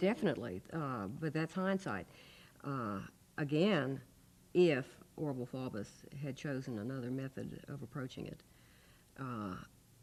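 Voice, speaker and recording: At a fairly slow pace with lively intonation and long, frequent pauses, this voice comes through a very clean recording with a silent background. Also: woman, very deep, low pitch for a woman. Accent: Southern US. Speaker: former student, civil rights witness. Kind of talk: oral history interview answer.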